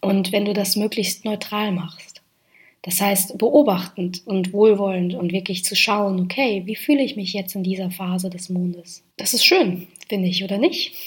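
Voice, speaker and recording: A woman with a medium-pitched, somewhat breathy voice speaks at a fairly slow pace with ordinary pitch variation. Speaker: podcast host on mindfulness and moon cycles. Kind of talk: solo podcast monologue.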